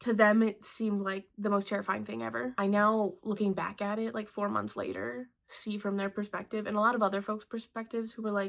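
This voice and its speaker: Using an ordinary speaking voice at a medium pitch, a woman talks at a fairly quick pace with hardly any pauses. Her pitch varies in an ordinary way, and the recording is very clean with a silent background. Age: 20s. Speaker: artist and vlogger. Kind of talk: personal vlog monologue. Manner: casual, conversational with fillers.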